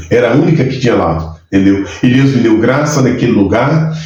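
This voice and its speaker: With lively intonation and a medium pitch, a man is heard in audible room echo amid noticeable background noise. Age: 60s. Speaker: pastor. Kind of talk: testimony.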